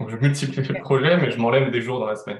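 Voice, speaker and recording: The man's voice is somewhat breathy. Room echo can be heard around him. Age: 30s. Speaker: entrepreneur. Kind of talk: podcast interview. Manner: hesitant with many fillers.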